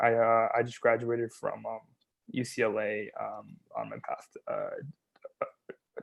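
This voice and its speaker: The speech is very slow, in a Californian accent. The sound is dry and close, with no echo. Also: man. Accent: General American, Californian. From US West Coast, Bay Area. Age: 20s. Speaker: stuttering advocate, nonprofit founder. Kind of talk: talk about personal experiences. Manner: halting with repetitions.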